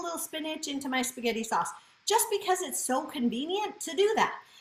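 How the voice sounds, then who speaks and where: Against noticeable background noise, a woman talks at a high pitch and a fairly quick pace. Her tone is animated, with very wide pitch swings. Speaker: cooking demonstrator. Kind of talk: live cooking demo. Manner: fast.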